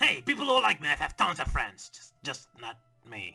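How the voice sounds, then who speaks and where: Using a rumbling, put-on character voice, a man speaks at a moderate pace. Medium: cartoon. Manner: grumbling, abrasive.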